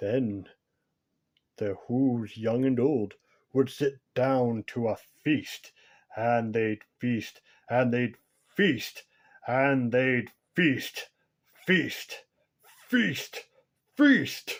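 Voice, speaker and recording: In a very clean recording with a silent background, a man of medium pitch speaks at a very slow pace with long, frequent pauses. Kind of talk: bedtime story. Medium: read story.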